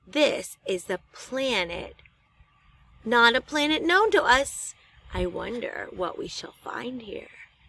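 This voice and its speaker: Using a put-on character voice, a woman speaks high-pitched and at a fairly slow pace. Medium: read story.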